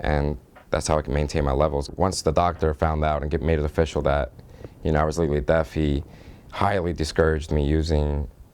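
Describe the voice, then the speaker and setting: A man talks in a very deep, low voice at a fairly quick pace. His intonation stays fairly even. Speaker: deaf DJ. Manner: even, steady level.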